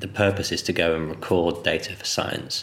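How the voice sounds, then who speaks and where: The man's voice sits at a very deep, low pitch. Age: 30s. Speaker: podcast host and adventure photographer. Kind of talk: interview conversation; scripted intro. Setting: living room.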